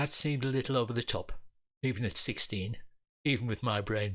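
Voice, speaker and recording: This voice has a British accent. Its pitch variation is ordinary. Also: man. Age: 80s+. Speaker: retired engineer and storyteller. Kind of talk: humorous personal memoir storytelling.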